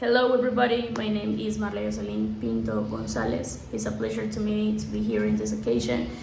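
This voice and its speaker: Speech comes at a fairly quick pace in a Spanish accent, with hardly any pauses. Noticeable background noise and audible room echo are present. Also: woman. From Colombia, Santa Marta. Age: 20s. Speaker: English teacher. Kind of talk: self-introduction video for a course.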